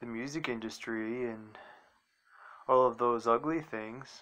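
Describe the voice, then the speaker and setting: A bright, sharp tone holds a monotone, flat intonation at a moderate pace. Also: man. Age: 40s. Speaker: video blogger. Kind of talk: casual monologue. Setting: outdoors. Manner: rambling, conversational. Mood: reflective, earnest. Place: garden. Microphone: phone near.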